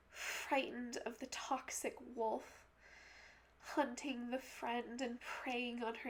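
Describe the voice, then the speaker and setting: Soft-spoken and very slow, a woman talks in a high, monotone, flat voice. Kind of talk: poetry reading.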